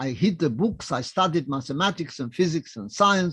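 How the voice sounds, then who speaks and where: Against a quiet background, a man with a non-native accent talks at a moderate pace at a fairly high pitch, with ordinary pitch variation. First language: not English. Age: 90s. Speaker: Holocaust survivor. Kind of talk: testimony. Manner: short simple sentences.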